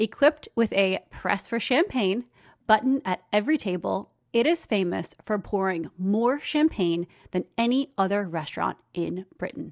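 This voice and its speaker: A woman's medium-pitched, upbeat, energetic voice with lively intonation at a moderate pace, dry and close with no echo, on a very clean recording with a silent background. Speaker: podcast host and brand consultant. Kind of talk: solo educational podcast monologue.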